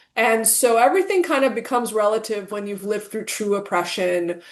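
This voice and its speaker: A woman with a Persian accent and fairly even intonation. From Iran. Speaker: plastic surgeon. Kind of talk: interview.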